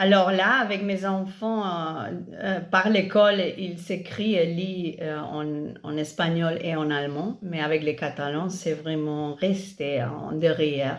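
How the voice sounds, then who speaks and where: A woman speaks very slowly at a fairly low pitch with ordinary variation. Audible room echo is present. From Catalonia, Spain. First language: Catalan and Spanish (speaking French). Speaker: parent of multilingual children. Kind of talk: interview on a live stream. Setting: Instagram live video stream. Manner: halting, many hesitations.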